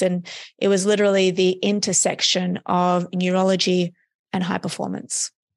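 Against a quiet background, a woman speaks at a medium pitch with monotone, flat intonation. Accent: Australian. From Australia. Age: 30s. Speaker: neuroscience performance coach. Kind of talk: interview.

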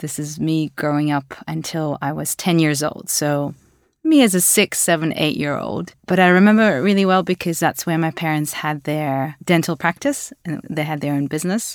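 Recorded very cleanly against a silent background, a woman with a very deep, low pitch speaks at a moderate pace with ordinary pitch variation. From Latvia, then Australia from age 10. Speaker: startup executive. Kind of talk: interview.

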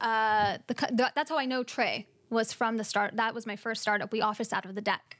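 Speaking fairly quickly in a normal speaking voice, a woman with a fairly high pitch keeps a fairly even intonation on a very clean recording with a silent background. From US, military family, moved often. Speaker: marketing executive. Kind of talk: casual interview chat.

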